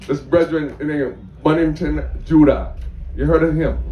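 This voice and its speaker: Room echo is audible around a man's voice. He keeps a moderate pace amid noticeable background noise. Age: 60s. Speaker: audience member at press Q&A. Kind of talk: audience question and comment at press conference. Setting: festival press tent with audience.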